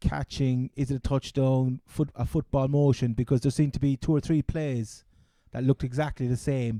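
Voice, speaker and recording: A man with a Cork accent speaks at a medium pitch and moderate pace, his tone dark and mellow and his intonation monotone and flat, in a dry, close sound with no echo. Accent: Cork Irish. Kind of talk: casual podcast banter.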